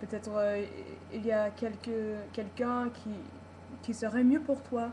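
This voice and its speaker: This woman's fairly high voice is somewhat breathy, with a dark, mellow tone. She talks at a very slow pace. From United States. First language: English (speaking French). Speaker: vlogger. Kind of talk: personal video vlog. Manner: halting, many repetitions and hesitations.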